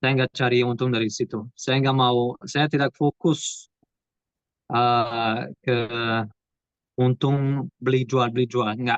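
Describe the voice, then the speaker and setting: Very slow and very even in loudness, a man talks at a medium pitch with fairly even intonation. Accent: Portuguese. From Portugal. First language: Portuguese (speaking Indonesian). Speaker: property investor. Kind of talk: webinar interview. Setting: video call. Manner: halting.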